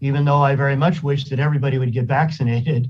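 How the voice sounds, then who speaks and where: The voice is somewhat breathy and goes at a very fast pace in a flat monotone. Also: man. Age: 60s. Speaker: county supervisor. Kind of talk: public meeting discussion. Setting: video call.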